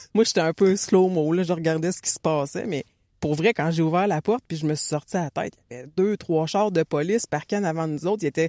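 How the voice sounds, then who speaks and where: In a Quebec accent, a woman talks at a very fast pace, her fairly low pitch carrying a dark, mellow tone and ordinary pitch variation. The sound is dry and close, with no echo. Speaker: running coach and podcast co-host. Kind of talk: casual chat.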